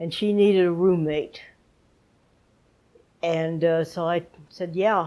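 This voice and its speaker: Speaking very slowly with an American accent, a woman uses a dark, mellow tone at a fairly low pitch with fairly even intonation. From Southern California. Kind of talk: interview answer. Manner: casual, reminiscing.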